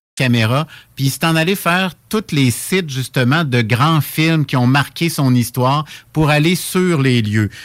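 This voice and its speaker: In a very clean recording with a silent background, a man with an ordinary speaking voice talks at a fairly high pitch and fairly slow pace, with ordinary pitch variation and very even loudness. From Quebec, Laurentides (Saint-Jérôme). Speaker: monthly radio columnist on pilgrimage. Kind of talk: radio chronicle discussion.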